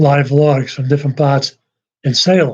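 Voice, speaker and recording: A man speaks in a somewhat breathy voice. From Massachusetts, north of Boston. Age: 70s. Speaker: YouTuber. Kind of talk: casual live-stream monologue. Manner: rambling, hesitant with fillers.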